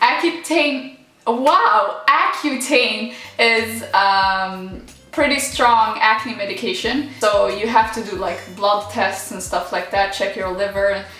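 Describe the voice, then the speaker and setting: Over music in the background and audible room echo, a woman in a Swedish accent speaks at a very slow pace, her fairly high pitch carried by lively intonation. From Morocco. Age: 20s. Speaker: YouTuber. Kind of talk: Q&A vlog. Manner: casual, rambling.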